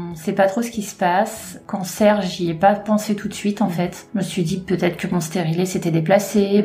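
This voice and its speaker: A woman talks at a medium pitch and with fairly even intonation, noticeable background noise behind her. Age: 30s. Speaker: cancer survivor, retail worker. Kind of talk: testimony.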